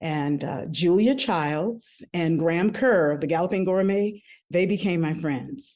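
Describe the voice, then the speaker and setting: A woman talks at a fairly slow pace with an American accent, her pitch fairly low and her tone dark and mellow. Her intonation is lively. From US South, New Orleans, Louisiana. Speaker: baker and food business owner. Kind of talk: interview.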